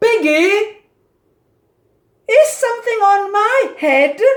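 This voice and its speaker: In a put-on character voice, a woman speaks squeakily at an extremely high pitch and a very slow pace. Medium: read story. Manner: worried, fretful.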